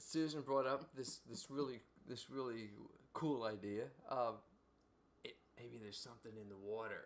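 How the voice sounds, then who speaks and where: A man with a Philadelphia accent speaks at a moderate pace and a medium pitch, with ordinary pitch variation. His loudness swings a lot, and he leaves long, frequent pauses. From Philadelphia, US. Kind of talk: casual chat. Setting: livestream. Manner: halting.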